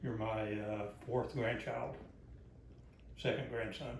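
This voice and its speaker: Speaking at a very slow pace with long, frequent pauses, a man with an American accent and a fairly low pitch is heard through audible room echo. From US South, Arkansas. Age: 70s. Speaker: grandfather being interviewed. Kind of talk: family interview. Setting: at home, living room.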